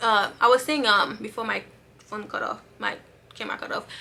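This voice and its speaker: Her voice, a woman's, shows ordinary pitch variation. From Haiti, raised in Massachusetts. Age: 30s. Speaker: vlogger. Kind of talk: casual vlog. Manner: fast. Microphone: camera mic, poor.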